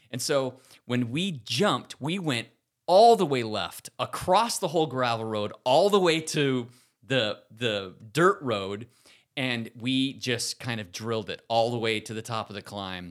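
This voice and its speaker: With a plain, everyday voice, the speaker goes at a fairly slow pace with lively intonation, recorded very cleanly against a silent background. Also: man, medium pitch for a man. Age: 50s. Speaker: amateur bike racer, podcast co-host. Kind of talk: casual chat.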